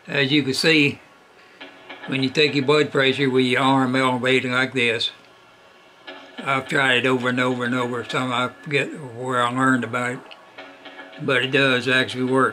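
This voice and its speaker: Against noticeable background noise, a man speaks at medium pitch and a moderate pace in a monotone, flat intonation, with long, frequent pauses. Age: 80s+. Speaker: retiree sharing health tips. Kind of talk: casual video demonstration. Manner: halting, with many fillers.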